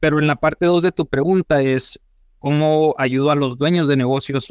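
The sound is dry and close with no echo, carrying a normal speaking voice. A man speaks with a fairly high pitch and fairly even intonation. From Mexico, Sonora (Hermosillo). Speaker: financial advisor for small businesses. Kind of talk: interview.

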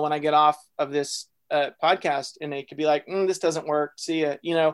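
A man with a Texan accent talks at a fairly quick pace and a fairly high pitch. The sound is dry and close, with no echo. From North Texas, small town. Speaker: fiction writer and writing workshop founder. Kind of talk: interview conversation.

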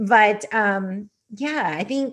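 This woman has an ordinary speaking voice. Her pitch sits fairly high, with ordinary pitch variation. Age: 40s. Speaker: podcast host. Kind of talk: casual interview chat.

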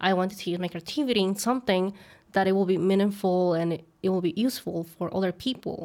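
On a very clean recording with a silent background, the speaker talks at a fairly quick pace with a Mexican accent and ordinary pitch variation. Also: woman, medium pitch for a woman. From Mexico. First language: Spanish. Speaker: content creator. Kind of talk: casual interview chat.

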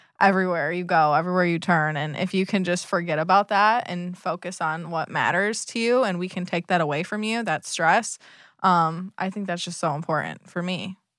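On a very clean recording with a silent background, a woman with an American accent uses a plain, everyday voice, fairly low in pitch, talking at a fairly quick pace with fairly even intonation and hardly any pauses. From US Midwest, Michigan. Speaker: boat management business partner. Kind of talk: casual interview.

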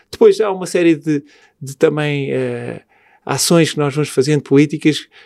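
A man talks with a dark, mellow tone and a fairly high pitch. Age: 40s. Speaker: hotel group executive. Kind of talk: interview.

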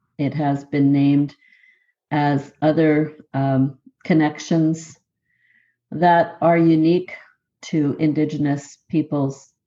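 A woman with a Canadian Prairie accent, her very deep, low voice dark and mellow, monotone and flat, at a very slow pace with long, frequent pauses, over a quiet background. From southern Manitoba, Canada (Métis). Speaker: professor. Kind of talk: interview conversation.

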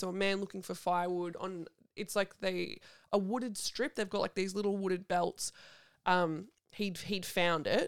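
On a very clean recording with a silent background, a woman with an Australian accent speaks at a moderate pace, using a medium pitch and fairly even intonation. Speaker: podcast host. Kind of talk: casual chat.

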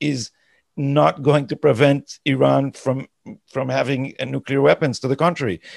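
On a very clean recording with a silent background and a dry, close sound with no echo, a man with a fairly high pitch and vocal fry speaks at a moderate pace with ordinary pitch variation. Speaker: podcast co-host and political commentator. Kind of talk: political discussion podcast. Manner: halting with frequent word repetitions.

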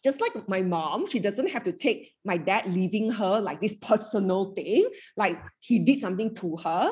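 A woman talks with lively intonation in a somewhat breathy voice. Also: medium pitch for a woman, moderate pace. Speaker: happiness coach. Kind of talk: live fireside chat with audience. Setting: live event workshop.

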